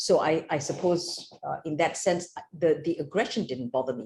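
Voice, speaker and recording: A woman's fairly low voice comes across somewhat breathy, with a dark, mellow tone. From Malaysia. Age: 60s. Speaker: judge. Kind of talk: interview. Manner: halting.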